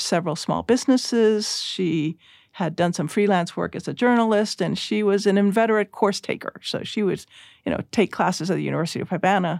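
A woman with an unremarkable speaking voice, medium pitch and ordinary pitch variation at a fairly quick pace, in a very clean recording with a silent background. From Cuba, then Puerto Rico and US. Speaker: former judge and church missionary. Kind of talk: interview. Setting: studio.

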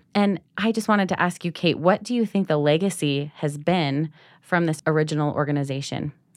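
The speaker talks at a fairly quick pace. Pitch variation is ordinary. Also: woman, very deep, low pitch for a woman. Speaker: podcast co-host. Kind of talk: casual interview.

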